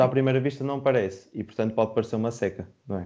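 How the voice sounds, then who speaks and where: At a very fast pace, a man talks in a medium pitch with a dark, mellow tone and fairly even intonation. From Portugal, Porto. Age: 20s. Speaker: university student, podcast moderator. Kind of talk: moderating a casual debate. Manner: hesitant.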